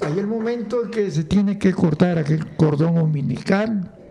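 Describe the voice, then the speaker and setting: Through noticeable background noise, a man with a high pitch talks at a moderate pace, his intonation lively. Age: old. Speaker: grandfather, former music teacher. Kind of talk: casual interview.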